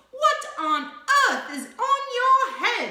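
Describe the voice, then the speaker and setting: Putting on a squeaky character voice at an extremely high pitch, a woman speaks with a slight echo around her. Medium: read story. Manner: shouting, bellowing.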